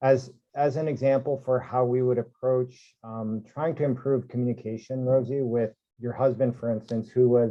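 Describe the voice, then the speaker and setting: Monotone and flat in intonation, a man with a medium pitch speaks at a moderate pace. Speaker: ICU physician. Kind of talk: workshop presentation. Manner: loud.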